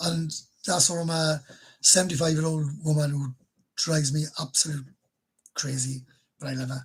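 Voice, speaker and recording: Speaking in a Welsh accent at a moderate pace, the voice stays monotone and flat, with long, frequent pauses. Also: man, fairly high pitch for a man. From Wales. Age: 50s. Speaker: YouTuber. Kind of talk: livestream chat. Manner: casual, halting.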